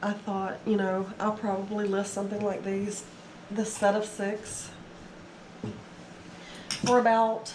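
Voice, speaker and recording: Through noticeable background noise, a woman of medium pitch speaks at a fairly slow pace in a monotone, flat intonation. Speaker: eBay reseller. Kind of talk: casual haul video talk to camera.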